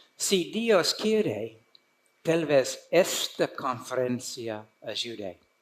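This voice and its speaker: Here a man speaks at a very slow pace. His pitch is fairly high and swings very widely. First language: English (speaking Spanish). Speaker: conference speaker, preacher. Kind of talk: sermon. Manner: halting.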